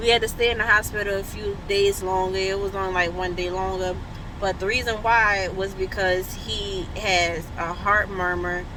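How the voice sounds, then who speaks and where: A woman speaks at medium pitch and a moderate pace with monotone, flat intonation. Audible room echo and noticeable background noise surround her. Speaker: parent vlogger. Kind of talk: casual vlog. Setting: on the way to appointment, then clinic room. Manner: loud.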